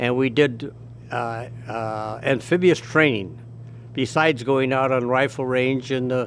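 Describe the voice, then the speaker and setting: Against noticeable background noise, a man speaks at a very slow pace and medium pitch, with fairly even intonation. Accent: American. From US Midwest, Elmhurst, Illinois. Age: 90s. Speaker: war veteran. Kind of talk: oral history interview. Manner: halting, with many restarts.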